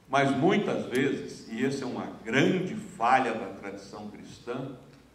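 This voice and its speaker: In a room with audible echo, a man talks at a fairly slow pace and medium pitch, with very wide pitch swings and big swings in loudness. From Minas Gerais, Brazil. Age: 70s. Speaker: friar, journalist and writer; journalist. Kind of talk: public lecture. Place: stage. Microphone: handheld.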